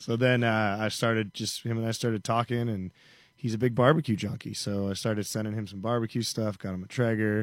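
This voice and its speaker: Spoken at a fairly quick pace with fairly even intonation, this is an ordinary speaking voice on a very clean recording with a silent background. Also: man, medium pitch for a man. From Montana, rural. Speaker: country musician. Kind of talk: casual chat.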